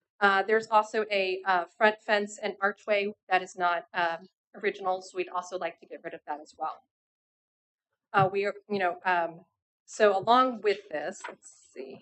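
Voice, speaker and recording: A woman speaks at medium pitch with fairly even intonation. Her loudness swings widely. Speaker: applicant presenting to city board. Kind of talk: public meeting presentation. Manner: fast.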